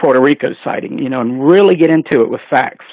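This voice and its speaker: A man's voice with ordinary pitch variation. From North Carolina. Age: 60s. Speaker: UFO researcher and conference organizer. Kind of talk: radio interview. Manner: halting.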